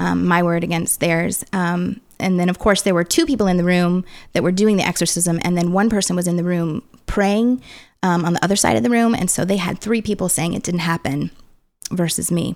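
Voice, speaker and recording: In an unremarkable speaking voice, a woman with an American accent talks at a fairly quick pace with a fairly low pitch, ordinary pitch variation and very even loudness, on a very clean recording with a silent background. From US Midwest, St. Louis area. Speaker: spiritual abuse survivor and activist. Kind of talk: testimony. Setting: studio.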